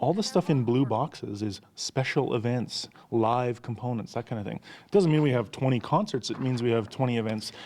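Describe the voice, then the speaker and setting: The voice has a dark, mellow tone. It moves at a fairly quick pace with ordinary pitch variation. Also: man, medium pitch for a man. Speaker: theatre executive director. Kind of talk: casual interview chat. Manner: fast.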